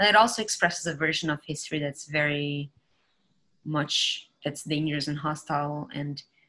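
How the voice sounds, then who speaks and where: The tone is bright and sharp, and the pace is moderate. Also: woman. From Brazil. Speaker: moderator and art writer; panelist. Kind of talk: panel discussion. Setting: video call. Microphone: video call.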